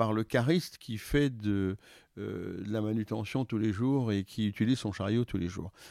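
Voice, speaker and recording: A man speaks at a medium pitch in a dark, mellow tone. The sound is dry and close with no echo, on a very clean recording with a silent background. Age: 60s. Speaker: logistics company executive. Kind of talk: interview. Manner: halting.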